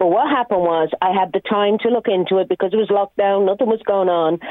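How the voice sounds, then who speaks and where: A woman speaks in a Dublin accent at medium pitch. Her pace is fairly quick. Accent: Irish (Dublin). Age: 50s. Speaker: comedian. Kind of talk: casual chat.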